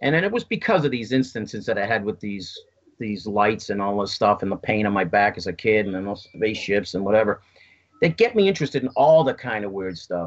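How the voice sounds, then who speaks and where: A man with a fairly low voice, speaking at a fairly quick pace in an American accent. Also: ordinary pitch variation. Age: 60s. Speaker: UFO contactee. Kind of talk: interview. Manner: halting, repeating words.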